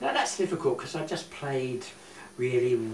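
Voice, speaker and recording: Amid noticeable background noise and audible room echo, a man talks at a moderate pace in a medium pitch. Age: 70s. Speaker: war evacuee recalling childhood. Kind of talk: interview. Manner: halting.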